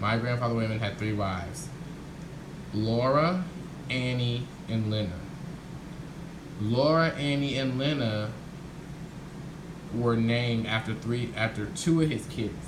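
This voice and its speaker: A man with a medium pitch speaks fairly slowly, leaving long and frequent pauses, with ordinary pitch variation. The room echoes audibly and there is noticeable background noise. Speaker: family history vlogger. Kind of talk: casual vlog monologue. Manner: halting, with many fillers and restarts.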